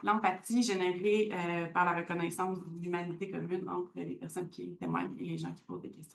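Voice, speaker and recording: Speaking at a fairly slow pace, a woman with a medium pitch is heard over audible room echo. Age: 30s. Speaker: community organization worker. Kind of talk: conference talk.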